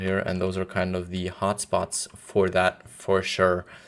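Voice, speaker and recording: This man's speech carries an American accent. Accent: somewhat American. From Germany. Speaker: game streamer. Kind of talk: live gameplay stream chat. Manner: casual, conversational.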